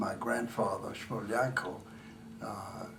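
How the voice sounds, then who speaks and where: Speaking fairly slowly in an American accent, a man is heard with audible room echo and noticeable background noise. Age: 80s+. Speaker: family member. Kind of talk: family reunion interview.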